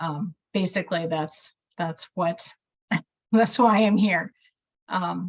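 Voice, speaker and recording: A woman with a strong Midwestern accent speaks at a very slow pace, with long, frequent pauses and ordinary pitch variation. Her voice sits at a medium pitch and is somewhat breathy, recorded with a dry, close sound and no echo. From US Midwest. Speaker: care coordination program staff. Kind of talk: online meeting discussion.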